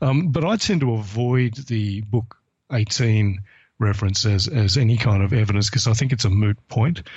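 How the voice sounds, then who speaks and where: A man's somewhat breathy, medium-pitched voice with an Australian accent, at a moderate pace, with ordinary pitch variation and very even loudness. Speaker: historian and atheist blogger. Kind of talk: interview.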